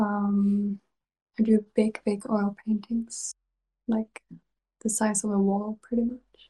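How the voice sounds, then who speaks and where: A woman's fairly high, somewhat breathy voice, dark and mellow in tone, monotone and flat, very slow with long, frequent pauses, in a dry, close sound with no echo. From Sweden. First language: Swedish. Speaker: ASMR creator. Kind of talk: whispered casual interview. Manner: giggly.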